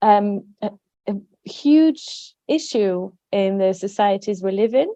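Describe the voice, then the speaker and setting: A woman speaks at a fairly high pitch with a dark, mellow tone. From France. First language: French. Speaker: wellbeing company director. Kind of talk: podcast interview.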